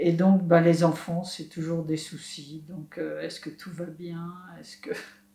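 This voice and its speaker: A woman speaks at a very slow pace, her fairly low voice dark, mellow and somewhat breathy. Her intonation is monotone and flat, her loudness swings widely, and audible room echo is present. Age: 60s. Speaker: solar bike traveler. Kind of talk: interview testimony.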